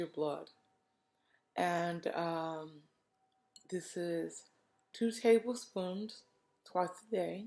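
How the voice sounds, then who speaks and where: At a very slow pace, a woman with a fairly low pitch talks with ordinary pitch variation. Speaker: vlogger documenting health journey. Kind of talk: video diary. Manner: halting, with fillers.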